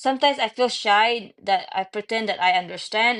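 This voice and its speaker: A woman speaks with a Filipino accent and ordinary pitch variation. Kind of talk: casual chat. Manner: halting.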